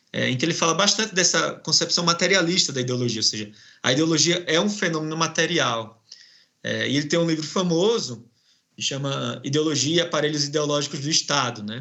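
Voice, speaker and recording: Speaking fairly quickly in a northeastern Brazilian accent, a man uses a fairly high voice with vocal fry. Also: ordinary pitch variation. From Brazilian Northeast. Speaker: professor and researcher. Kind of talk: academic interview. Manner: hesitant, many fillers.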